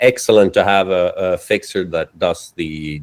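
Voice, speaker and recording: A man with a Swedish accent keeps his intonation fairly even in a dry, close sound with no echo on a very clean recording with a silent background. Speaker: cinematographer and editor. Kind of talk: casual interview chat.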